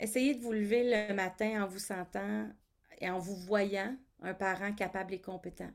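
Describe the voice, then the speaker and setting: In a very clean recording with a silent background, a woman with an unremarkable speaking voice talks at medium pitch with ordinary pitch variation and big swings in loudness. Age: 40s. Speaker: college teacher and parent of a child with a rare syndrome. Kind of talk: interview testimony.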